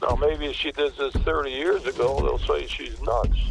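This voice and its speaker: Noticeable background noise sits under this recording. A man speaks at a fairly slow pace. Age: 80s+. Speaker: former sheriff. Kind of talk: phone interview. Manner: halting with many fillers.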